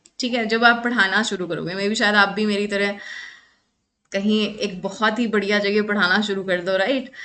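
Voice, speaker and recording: A bright, sharp tone delivered in flat, monotone intonation carries audible room echo. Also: woman, medium pitch for a woman. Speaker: psychology exam lecturer. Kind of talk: online lecture. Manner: Hindi-English code-mixing.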